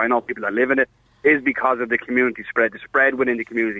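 A man talks at a very fast pace. He speaks with an Irish accent. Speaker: caller, bar worker and referee. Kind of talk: phone-in discussion. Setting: phone call.

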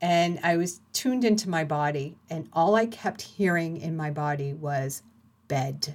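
A woman's normal speaking voice, fairly low in pitch, with lively intonation. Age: 50s. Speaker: podcast host. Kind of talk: personal monologue.

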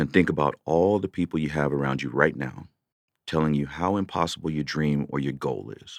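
Someone with an American accent speaks fairly quickly with vocal fry and ordinary pitch variation. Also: man, very deep, low pitch for a man. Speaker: podcast host and veteran. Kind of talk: solo rant, heartfelt and confessional, talking to listeners. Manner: conversational, earnest, with frequent fillers.

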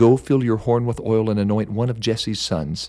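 In a very clean recording with a silent background, a man with a plain, everyday voice and fairly low pitch speaks at a moderate pace with ordinary pitch variation. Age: 40s. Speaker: pastor and devotional podcaster. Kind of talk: devotional storytelling.

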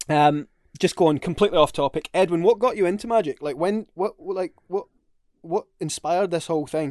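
In a Scottish accent, a man talks at a fairly quick pace in a high pitch with ordinary pitch variation, the sound dry and close with no echo. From Scotland. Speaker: podcast co-host. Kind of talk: casual chat.

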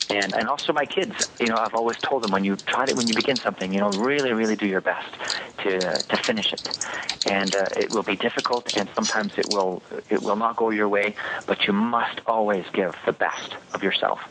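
At a fairly quick pace, the speech holds fairly even intonation and very even loudness over noticeable background noise. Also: man, fairly low pitch for a man. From Quebec. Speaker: public speaking contest finalist. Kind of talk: interview. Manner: hesitant with repetitions.

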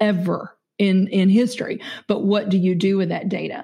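A woman with an American accent speaks at a moderate pace and medium pitch, her tone dark and mellow. Her intonation is monotone and flat, and the background is quiet. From Kentucky, US South. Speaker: business CEO and podcaster. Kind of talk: casual interview conversation.

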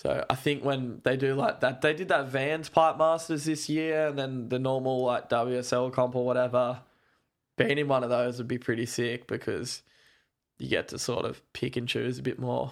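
With fairly even intonation, a speaker with an Australian accent is heard in a very clean recording with a silent background. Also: man, medium pitch for a man, moderate pace. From Australia (Gold Coast, Darwin, moved around). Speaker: professional surfer. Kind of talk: casual chat.

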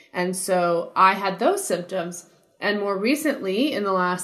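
Speaking at a fairly slow pace with an American accent, a woman has medium pitch and an ordinary speaking voice. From New Jersey. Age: 30s. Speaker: musician. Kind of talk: interview conversation.

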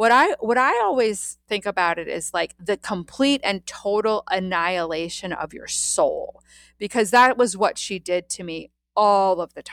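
A woman with an American accent, a plain, everyday voice, medium pitch and ordinary pitch variation, at a fairly slow pace with big swings in loudness, in a very clean recording with a silent background. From US, Washington DC area. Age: 50s. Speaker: energy healer and hypnotherapist. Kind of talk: personal story interview.

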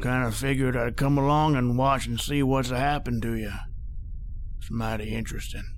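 A man talks at a fairly quick pace. Background noise is clearly audible. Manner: calm, folksy, unhurried, quietly menacing.

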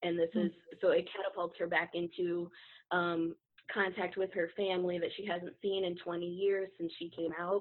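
Monotone, flat intonation from a woman at a fairly low pitch, moving at a moderate pace. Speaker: debut novelist, award winner. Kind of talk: casual interview chat. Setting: video call.

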